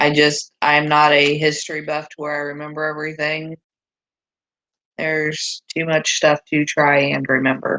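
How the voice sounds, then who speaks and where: Soft-spoken, a woman talks at a fairly slow pace. Her tone is bright and sharp. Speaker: homesteading vlogger. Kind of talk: casual chat.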